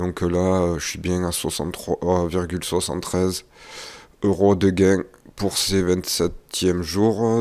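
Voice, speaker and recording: A soft-spoken man talks at a very deep, low pitch and a fairly slow pace, in monotone, flat intonation. The recording is very clean, with a silent background. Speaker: investing youtuber. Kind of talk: vlog update. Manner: hesitant, many fillers.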